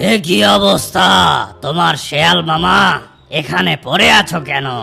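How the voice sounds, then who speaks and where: A man does a raspy, cartoonish character voice at a fairly high pitch, fairly slow, with very wide pitch swings. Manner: familiar, addresses fox as uncle.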